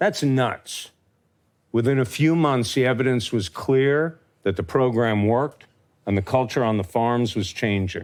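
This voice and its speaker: A man's medium-pitched, ordinary speaking voice at a fairly slow pace, with lively intonation, in a very clean recording over a silent background. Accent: American. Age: 60s. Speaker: farmer. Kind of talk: talk to an audience. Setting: stage with audience.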